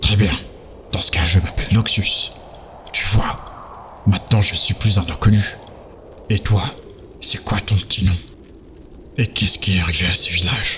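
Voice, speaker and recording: Putting on a character voice, a man speaks at a fairly low pitch with long, frequent pauses over clear background noise. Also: moderate pace. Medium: audio drama. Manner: smooth, quietly menacing.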